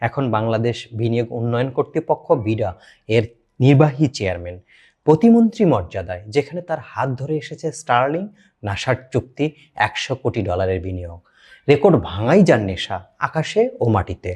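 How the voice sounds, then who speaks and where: A somewhat breathy voice with lively intonation against a quiet background. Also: man, medium pitch for a man. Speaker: YouTube channel host. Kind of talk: scripted narration; direct appeal to viewers. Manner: emotional, declamatory.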